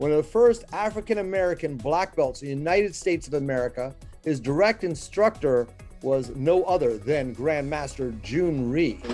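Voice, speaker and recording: A man's fairly high voice with lively intonation at a moderate pace, music playing behind. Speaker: martial arts instructor, interview host. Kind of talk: casual interview talk.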